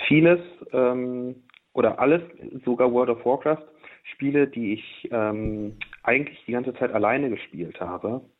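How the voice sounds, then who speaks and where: This man talks fairly slowly at a medium pitch, with ordinary pitch variation. He takes long, frequent pauses. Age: 20s. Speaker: former video game addict, physics graduate. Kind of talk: radio interview, personal testimony.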